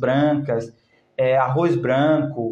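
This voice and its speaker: A man speaks at a very slow pace. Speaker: naturopath health educator. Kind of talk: live stream talk answering comments. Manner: animated, conversational.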